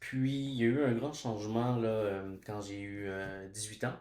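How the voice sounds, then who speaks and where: A man's fairly low, fairly even voice at a very slow pace, with audible room echo. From Quebec, Montreal. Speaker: education student and teacher. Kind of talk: casual chat. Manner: halting, many hesitations.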